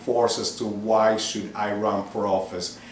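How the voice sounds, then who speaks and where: A man with an American accent speaks very slowly at fairly low pitch. Noticeable background noise and audible room echo are present. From New York City (Manhattan), Cuban-born. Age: 50s. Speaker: political candidate. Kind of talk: interview.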